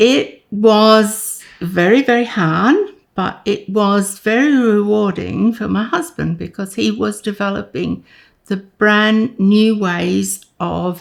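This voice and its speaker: At a very slow pace, a woman with an Australian accent speaks at a medium pitch with ordinary pitch variation. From Queensland, Australia. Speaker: retired nurse. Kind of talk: interview answer.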